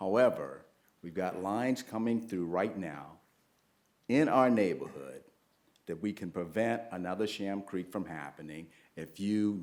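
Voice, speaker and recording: A man with an American accent at a fairly slow pace, big swings in loudness, and audible room echo. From US South, Snowden near Mount Pleasant, South Carolina. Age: 60s. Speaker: public commenter at town council, military veteran. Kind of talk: public comment at council meeting.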